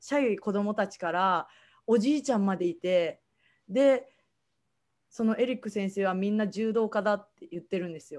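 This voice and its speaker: At a moderate pace, a woman speaks with ordinary pitch variation. The background is quiet. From Japan, Kagoshima (Kanoya); Japan. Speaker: after-school day service judo instructor. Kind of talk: online presentation. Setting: online livestream talk. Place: home room. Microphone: video call.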